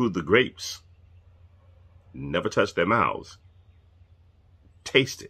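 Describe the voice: A man speaks at a fairly low pitch with big pitch swings. His tone is fairly bright with a slightly husky edge.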